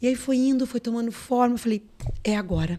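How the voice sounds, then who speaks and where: A woman with a plain, everyday voice talks at a fairly quick pace with ordinary pitch variation. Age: 50s. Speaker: businesswoman and influencer. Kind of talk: casual chat.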